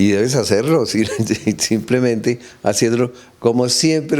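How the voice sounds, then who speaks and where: A man speaks at a moderate pace in a dark, mellow tone with lively intonation. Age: 60s. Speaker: playwright and comedian. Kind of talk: interview. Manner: halting.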